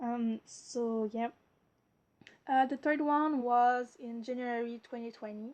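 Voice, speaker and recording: A woman's high voice in a French Canadian accent, very slow, with big swings in loudness. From Quebec. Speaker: mental health vlogger. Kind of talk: personal video blog. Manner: halting, many fillers and stuttering.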